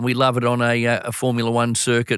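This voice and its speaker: Recorded very cleanly against a silent background, a man's voice sounds dry and close with no echo. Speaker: sports event executive. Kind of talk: interview. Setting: studio. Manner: enthusiastic.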